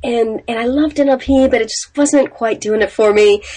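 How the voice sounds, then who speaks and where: At a moderate pace, a woman talks in a plain, everyday voice with a fairly high pitch. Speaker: business coach. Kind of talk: casual interview.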